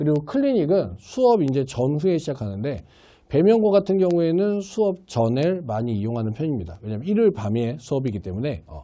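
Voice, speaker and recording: Delivered at a fairly quick pace, the voice has a dark, mellow tone and very wide pitch swings. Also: man. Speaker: science tutor at a cram school. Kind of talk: course orientation talk. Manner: strong, blunt speaking style.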